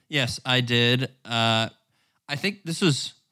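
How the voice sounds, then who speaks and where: Speaking at a very slow pace, a man with an American accent has a bright, sharp tone and ordinary pitch variation. The recording is very clean, with a silent background. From US South, northwest Arkansas. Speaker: podcast co-host. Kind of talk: casual chat.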